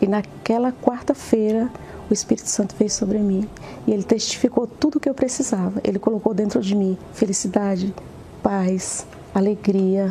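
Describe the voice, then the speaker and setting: Noticeable background noise fills the recording. Over it comes a woman's medium-pitched voice. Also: ordinary pitch variation, moderate pace. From Pernambuco, Brazil. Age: 50s. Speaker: business administrator giving church testimony. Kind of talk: testimony.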